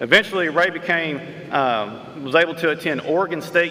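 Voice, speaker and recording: A man with an East Texas accent talks at a very fast pace with fairly even intonation. Audible room echo and noticeable background noise are present. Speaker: award presenter introducing an honoree. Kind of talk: award ceremony tribute speech. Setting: school gym with audience.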